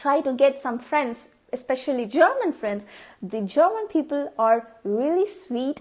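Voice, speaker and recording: A woman with a Tamil accent, high-pitched, with lively intonation and a fairly slow pace. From India (Tamil). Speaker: vlogger. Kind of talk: tutorial. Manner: casual, with frequent fillers.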